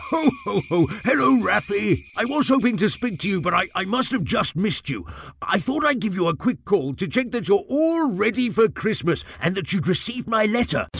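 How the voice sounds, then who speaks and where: In a put-on character voice, a man speaks at a high pitch with very wide pitch swings and a moderate pace. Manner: jolly.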